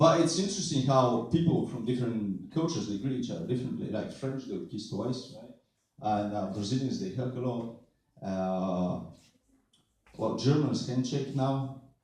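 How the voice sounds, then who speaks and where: A man at a medium pitch speaks at a moderate pace with lively intonation and big swings in loudness, and audible room echo surrounds him. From Bulgaria. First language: Bulgarian. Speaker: stand-up comedian. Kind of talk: stand-up.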